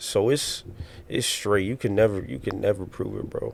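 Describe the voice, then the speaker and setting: A man talks at a moderate pace, with noticeable background noise behind his voice. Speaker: podcast host. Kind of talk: casual chat.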